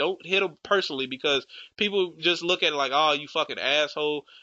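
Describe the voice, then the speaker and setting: Speaking at a fairly quick pace, a man sounds animated, his pitch varying in an ordinary way. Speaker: gaming YouTuber. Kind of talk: casual game tutorial and rant.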